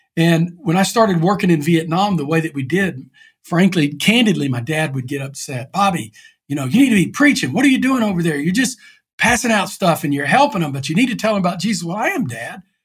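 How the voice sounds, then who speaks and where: Speaking very fast, a man with an East Texas accent uses a high pitch. His pitch swings very widely. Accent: East Texas Southern US. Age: 60s. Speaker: pastor. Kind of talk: interview.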